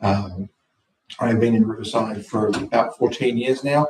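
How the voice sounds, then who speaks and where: Moderate pace from a man with an Australian accent. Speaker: council candidate. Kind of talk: self-introduction at council meeting.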